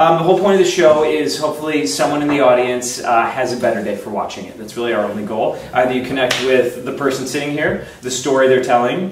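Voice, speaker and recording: A man talks at a very fast pace with hardly any pauses, big swings in loudness and ordinary pitch variation, with audible room echo and light background noise. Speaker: show host. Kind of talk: casual talk show intro. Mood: playful, joking. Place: home room. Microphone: camera far.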